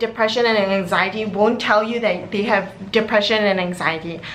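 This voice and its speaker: Speech comes at a moderate pace, with audible room echo and noticeable background noise. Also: woman. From Singapore. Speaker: university student vlogger. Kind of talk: casual vlog talk. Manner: animated.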